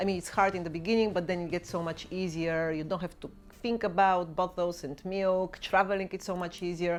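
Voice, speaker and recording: A woman with a Bulgarian accent talks at a fairly quick pace, her fairly low voice monotone and flat. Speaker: YouTuber and mother. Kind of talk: Q&A vlog.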